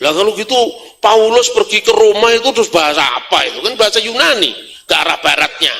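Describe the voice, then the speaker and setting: A man speaks at a fairly quick clip in a high, raised, projected voice, animated in tone and lively in intonation. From Java, Indonesia. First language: Javanese (speaking Indonesian). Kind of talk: lecture.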